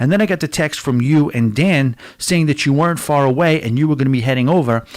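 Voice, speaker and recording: A man with a fairly high pitch, very even loudness, ordinary pitch variation and a very fast pace. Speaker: cruise travel agent hosting trivia livestream. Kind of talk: casual livestream chat. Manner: loud, projecting.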